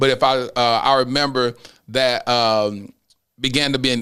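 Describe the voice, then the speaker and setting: A moderate pace with fairly even intonation. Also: man. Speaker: podcast host. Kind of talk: casual chat. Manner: loud.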